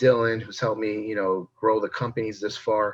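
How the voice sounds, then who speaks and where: A man with an American accent, a fairly low pitch and a fairly quick pace. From New Jersey. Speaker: author and credit repair entrepreneur. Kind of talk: casual chat. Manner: animated.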